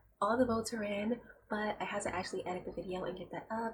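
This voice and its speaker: A soft-spoken woman whispers against noticeable background noise. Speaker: youtube reaction reviewer. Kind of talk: casual vlog commentary. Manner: soft-spoken, quiet; near-whisper, ASMR-like.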